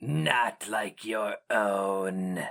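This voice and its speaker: A man puts on a character voice that is raspy and fairly low in pitch. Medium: read story. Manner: archaic, cold.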